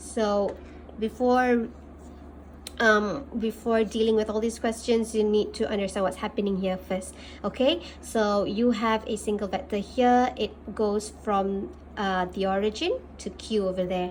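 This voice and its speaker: Speaking with a Malaysian accent, a woman keeps to a medium pitch. Her pace is fairly slow and her intonation fairly even. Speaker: maths teacher. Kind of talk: tutorial.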